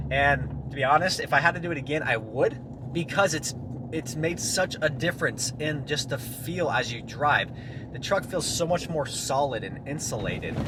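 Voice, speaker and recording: Moderate pacing from a man pitched fairly high, ordinary pitch movement, and clearly audible background noise. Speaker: car DIY vlogger. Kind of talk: casual vlog talk while driving. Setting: in a car. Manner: loud.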